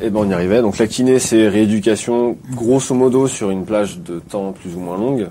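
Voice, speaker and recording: A normal speaking voice, fairly slow, with ordinary pitch variation. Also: man. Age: 30s. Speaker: physiotherapist. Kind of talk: casual chat.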